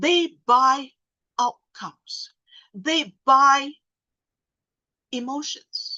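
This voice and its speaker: Raised and projected, a woman's high, bright, sharp voice moves at a very slow pace with ordinary pitch variation and long, frequent pauses. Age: 60s. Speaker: sales trainer. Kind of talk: seminar talk.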